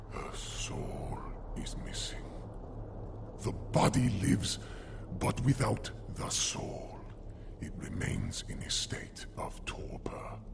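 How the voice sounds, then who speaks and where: A man's put-on character voice, very slow with long, frequent pauses, over loud background noise. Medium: machinima. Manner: grave, measured.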